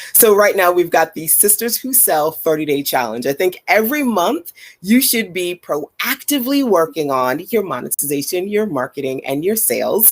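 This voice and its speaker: Over noticeable background noise, a woman with an American accent talks at a moderate pace, her pitch swinging very widely. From Brooklyn, New York. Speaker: business coach for entrepreneurs. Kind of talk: interview.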